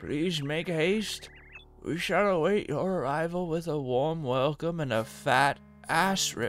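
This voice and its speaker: Putting on a character voice, a man speaks at a fairly slow pace in a fairly high pitch while clear music plays in the background. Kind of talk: comic mock-posh delivery. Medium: game stream. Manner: prim, courteous, formal.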